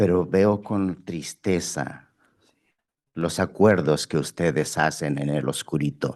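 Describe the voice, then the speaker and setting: A man speaks with a very deep, low pitch and ordinary pitch variation. His pace is fairly slow. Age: 60s. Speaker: member of the public commenting. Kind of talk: public comment. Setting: public board meeting. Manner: short phrases with pauses.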